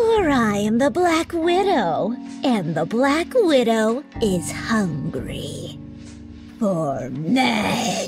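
A put-on character voice, female-sounding and fairly high in pitch, at a very slow pace over clear music in the background. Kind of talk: comic overacting. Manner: vampy, theatrical seduction.

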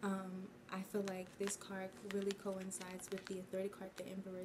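Over noticeable background noise, a woman talks with monotone, flat intonation. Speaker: tarot reader. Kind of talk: tarot reading commentary. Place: home room. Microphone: phone near.

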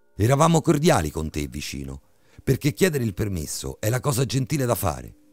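Music plays behind a man whose dramatic, menacing voice swings very widely in pitch at a moderate pace, with a dry, close sound and no echo. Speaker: horror story narrator. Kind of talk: creepypasta horror narration, tense bedtime ghost story reading. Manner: dramatic, suspenseful, building menace with shifts into a menacing booming villain voice.

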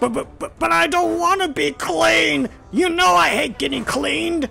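Over clear background noise, a man puts on a high-pitched character voice at a fairly slow pace. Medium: audio drama. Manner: eager, excitable, stubborn.

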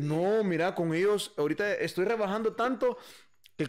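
The background is quiet. A man speaks at a high pitch with ordinary pitch variation. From El Salvador, San Salvador. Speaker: musician and bandleader; podcast guest. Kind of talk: casual interview chat. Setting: live stream. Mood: relaxed, animated storytelling. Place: home room. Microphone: studio mic.

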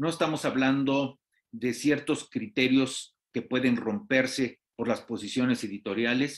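A man with a Mexican accent talks at medium pitch with ordinary pitch variation. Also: fairly slow pace. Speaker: TV news host. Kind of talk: TV interview.

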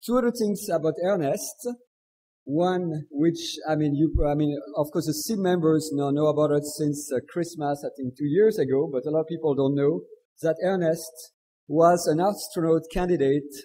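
Fairly high in pitch, a man talks at a moderate pace with ordinary pitch variation. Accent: French. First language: French. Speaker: session chair. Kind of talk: speaker introduction. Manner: halting.

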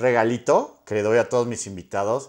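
A man's unremarkable speaking voice at medium pitch and a moderate pace. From Mexico. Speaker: YouTube interviewer. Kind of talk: interview. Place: home room. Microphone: lapel.

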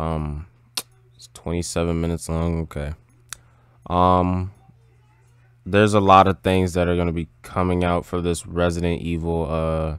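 A man with a very deep, low pitch talks at a moderate pace in a monotone, flat delivery, leaving long, frequent pauses. His loudness swings widely, and the sound is dry with no echo against a quiet background. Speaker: gaming YouTuber reacting to trailers; gaming reactor. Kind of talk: casual reaction commentary. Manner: hesitant, many fillers. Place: home room. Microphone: headset.

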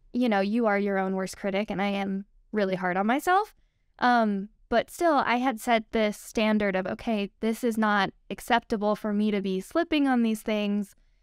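Against a quiet background, a woman speaks at a moderate pace with ordinary pitch variation, the sound dry with no echo. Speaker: guest. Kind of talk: interview answer. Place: studio.

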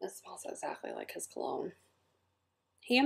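A woman with an American accent speaks at a fairly quick pace. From US South. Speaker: scent product consultant and video host; scent product seller. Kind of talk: product review; casual product review chat. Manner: casual, filler-heavy. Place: home room. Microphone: webcam.

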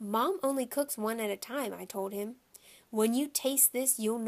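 The passage is read in a natural voice, the pitch shifting by an ordinary amount.

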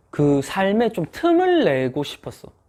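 Dark and mellow in tone, the voice carries lively intonation on a very clean recording with a silent background. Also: man. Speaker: tax accountant. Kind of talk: casual chat.

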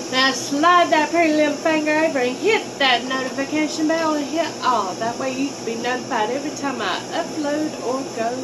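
The voice shows ordinary pitch variation, with noticeable background noise throughout. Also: woman, moderate pace, hardly any pauses. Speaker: vlogger. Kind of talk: casual vlog chat. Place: shop. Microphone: phone near.

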